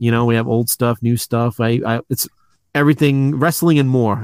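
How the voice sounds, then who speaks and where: With an American accent, a man speaks at a medium pitch with fairly even intonation, in a dry, close sound with no echo. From New York City. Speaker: toy shop owner. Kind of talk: casual chat.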